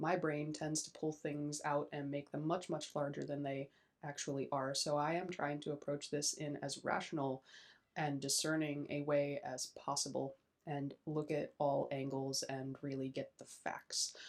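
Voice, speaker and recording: Quiet and moderately paced, a woman speaks at a very deep, low pitch with monotone, flat intonation. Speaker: YouTuber, self-described witch. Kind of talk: casual vlog commentary. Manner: quiet, hushed; hesitant, many fillers.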